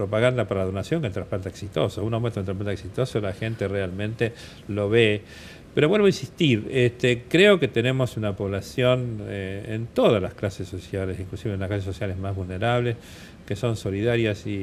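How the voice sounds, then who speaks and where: With ordinary pitch variation, a man's speech runs at a fairly quick pace. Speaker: transplant surgeon, doctor. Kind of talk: TV interview. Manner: hesitant, many fillers.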